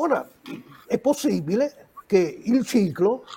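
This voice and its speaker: At a very slow pace, a man speaks with very wide pitch swings. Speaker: retired general and military analyst. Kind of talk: panel discussion. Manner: halting.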